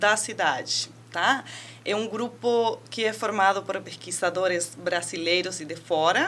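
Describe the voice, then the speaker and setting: Her Argentine accent comes through with lively intonation. The woman speaks at a fairly slow pace. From Argentina. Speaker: university researcher and professor. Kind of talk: interview.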